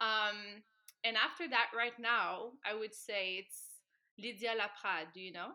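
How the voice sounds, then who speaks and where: A woman speaks at a fairly slow pace in a bright, sharp tone, with long, frequent pauses. Her pitch varies in an ordinary way while her loudness swings widely. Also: fairly high pitch for a woman. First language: French. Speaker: dancer and dance instructor. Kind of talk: casual interview. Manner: soft-spoken.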